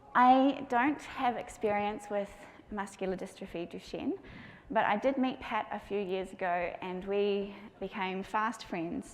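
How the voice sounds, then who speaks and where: A woman at a fairly slow pace, with audible room echo. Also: medium pitch for a woman, ordinary pitch variation. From New Zealand. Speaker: patient experience advocate and parent speaker. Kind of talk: conference talk. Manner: gentle.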